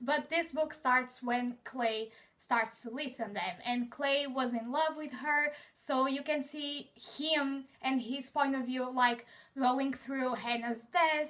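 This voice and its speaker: The speaker has a Portuguese accent and a bright, sharp tone. Delivery is very slow, with fairly even intonation. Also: woman. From Portugal. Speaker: book vlogger. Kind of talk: casual chat.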